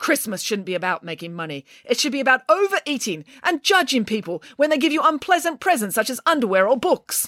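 A woman's put-on character voice, high-pitched and fairly quick, with big pitch swings and a bright, sharp tone. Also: few pauses.

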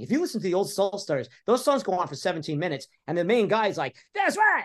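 Against a quiet background, a man with an American accent speaks in an animated tone with very wide pitch swings. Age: 60s. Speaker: author. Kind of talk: interview.

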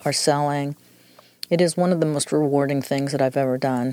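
Recorded with a dry, close sound and no echo, a woman speaks in a very deep, low pitch with ordinary pitch variation. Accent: American. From New York. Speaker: real estate transaction admin. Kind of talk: casual interview.

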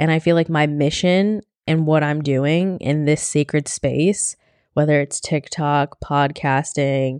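Fairly slow and fairly even in intonation, a woman speaks at a very deep, low pitch, the sound dry and close with no echo and the background quiet. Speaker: spiritual coach and podcast host. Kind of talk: casual solo podcast monologue. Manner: grounded, calm.

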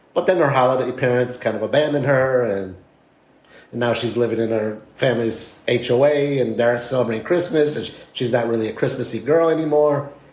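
The voice sounds animated, moving at a fairly quick pace with ordinary pitch variation, and the room echo is audible. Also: man, medium pitch for a man. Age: 50s. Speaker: podcast co-host. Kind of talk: casual chat. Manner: animated, talks with his hands.

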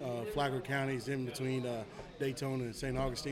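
In a Tennessee accent, a man speaks at a fairly quick pace and medium pitch with fairly even intonation, amid audible room echo and noticeable background noise. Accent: Southern US (Tennessee). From Tennessee (Murfreesboro). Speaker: high school football coach. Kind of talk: casual interview.

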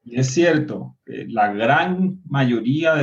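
Music plays in the background while a man speaks at a very slow pace with ordinary pitch variation. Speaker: party activist. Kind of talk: panel discussion.

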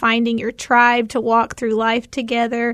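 A woman with a Tennessee accent speaks at a high pitch. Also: quiet background. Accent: Southern US (Tennessee). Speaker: mom and nonprofit volunteer. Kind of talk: casual chat.

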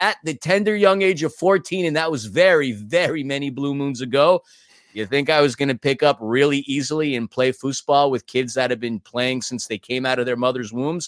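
A man speaks with a New York accent. The sound is dry and close, with no echo. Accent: New York American. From New York City. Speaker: podcast host. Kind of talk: casual podcast chat.

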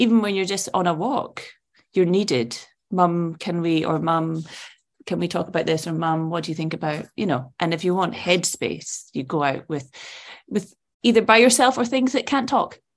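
Against a quiet background, a woman with a Scottish accent speaks at a fairly low pitch with lively intonation. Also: moderate pace. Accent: Scottish, Edinburgh. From Edinburgh, Scotland. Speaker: actress. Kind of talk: casual interview chat.

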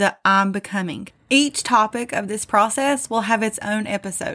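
This woman's voice has a bright, sharp tone at a medium pitch, with ordinary pitch variation. The recording is very clean, with a silent background. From US South, southern West Virginia. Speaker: self-help podcaster. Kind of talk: motivational monologue.

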